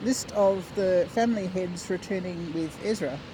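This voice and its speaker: With an Australian accent, a woman speaks at medium pitch and a very slow pace with fairly even intonation, over noticeable background noise. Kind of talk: scripture reading. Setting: outdoors.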